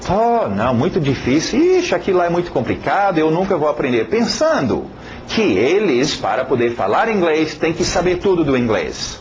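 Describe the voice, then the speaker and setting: At a moderate pace, a man speaks high with very wide pitch swings and very even loudness, amid noticeable background noise and audible room echo. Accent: non-native. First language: English (speaking Portuguese). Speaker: English teacher. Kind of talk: lesson introduction. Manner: halting, many fillers and repetitions; casual, conversational.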